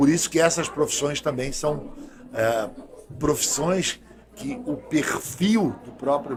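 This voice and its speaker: Lively intonation from a man with a fairly high pitch, at a fairly slow pace, with big swings in loudness and noticeable background noise. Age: 60s. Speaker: doctor and health official. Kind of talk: podcast interview. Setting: studio.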